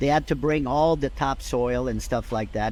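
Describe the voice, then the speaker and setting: A man with a French Canadian accent, medium pitch and a moderate pace. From Quebec, Canada. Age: 70s. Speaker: golf director emeritus. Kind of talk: interview. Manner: passionate.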